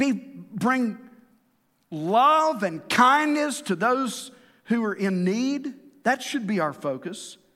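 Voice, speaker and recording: The voice is raised and projected, with a bright, sharp tone. Its intonation is lively. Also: man. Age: 50s. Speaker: pastor. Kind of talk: sermon. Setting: church.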